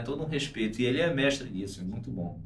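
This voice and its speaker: A man speaking at a very fast pace with lively intonation, amid audible room echo and noticeable background noise. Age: 40s. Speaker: bass player. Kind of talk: casual interview chat.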